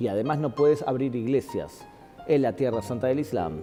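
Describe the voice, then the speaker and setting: At a fairly slow pace, a man talks over music in the background. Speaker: guest speaker, teacher on religion. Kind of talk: interview answer, lecture-like explanation. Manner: emphatic, rhetorical, challenging the audience.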